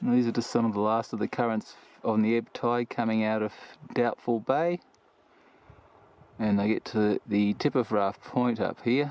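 Long, frequent pauses mark a man's moderate-paced speech, which has very even loudness, fairly even intonation and a dry sound with no echo. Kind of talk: casual vlog chat. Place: open country. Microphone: phone near.

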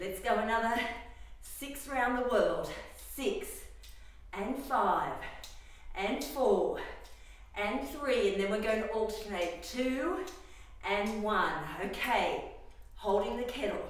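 Speech comes very slowly, with long, frequent pauses, in a space with strong room echo. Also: woman. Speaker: fitness instructor. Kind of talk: workout instruction. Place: gym. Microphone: camera far.

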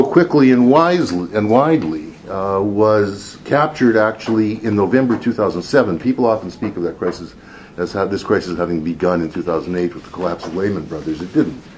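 Noticeable background noise runs under a man talking at a moderate pace. His fairly low voice makes very wide pitch swings. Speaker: professor. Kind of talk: lecture. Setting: stage with audience.

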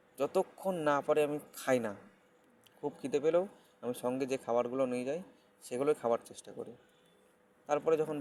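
A man talks in an ordinary speaking voice at a medium pitch with ordinary pitch variation. His loudness swings widely. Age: 30s. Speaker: health vlogger. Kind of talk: casual advice monologue.

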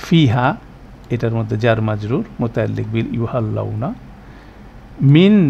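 Noticeable background noise mixes with audible room echo throughout. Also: man. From Bangladesh, Chittagong. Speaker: Quran teacher. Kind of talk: lecture.

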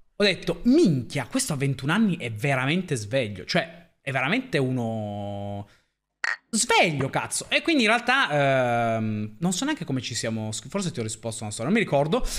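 A man talks with very wide pitch swings. The background is quiet. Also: moderate pace. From Piedmont, northern Italy (Pinerolo). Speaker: streamer. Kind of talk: casual chat. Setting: live stream. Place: home room.

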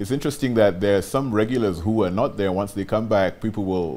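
The pace is very fast. Pitch variation is ordinary. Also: man. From Kenya. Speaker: rugby team official. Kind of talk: interview. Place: studio.

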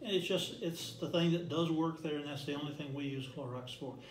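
Light background noise and audible room echo surround a man whose pitch varies in an ordinary way. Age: 70s. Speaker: direct sales representative. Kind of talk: interview. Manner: enthusiastic. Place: meeting room. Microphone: camera far.

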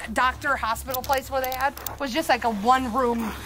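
The voice is loud and fairly slow, with noticeable background noise behind it. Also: woman. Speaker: paranormal investigator; tour guide. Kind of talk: casual chat. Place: open country.

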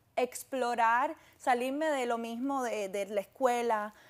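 This woman's voice is high-pitched. Her intonation is fairly even. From Cuba. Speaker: fashion model; guest. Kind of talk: interview. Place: studio. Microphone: lapel.

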